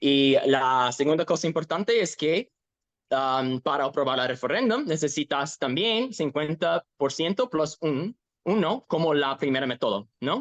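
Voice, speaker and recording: With an English accent, a man talks fairly slowly at a fairly high pitch, his intonation lively and his loudness very even, in a dry, close sound with no echo. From Ohio, US. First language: English (speaking Spanish). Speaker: activist. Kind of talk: interview. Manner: halting, self-correcting.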